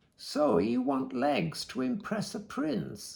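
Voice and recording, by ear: A man's cackling put-on character voice, fairly high-pitched and very slow.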